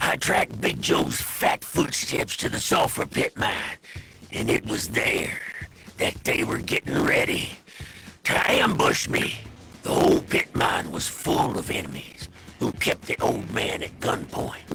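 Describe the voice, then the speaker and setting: In a cartoonish character voice, a man speaks at a fairly slow pace over clear background noise. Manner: gruff, boastful.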